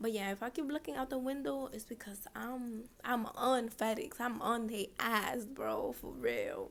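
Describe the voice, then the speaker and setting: A woman with a high voice speaks at a fairly slow pace with hardly any pauses and ordinary pitch variation. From Dominican Republic. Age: 20s. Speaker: nail technician and podcaster. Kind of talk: casual vlog monologue. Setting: her business suite.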